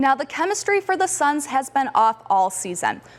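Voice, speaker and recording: A woman talks with very wide pitch swings. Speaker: sports reporter and news anchor. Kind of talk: news and sports anchor read.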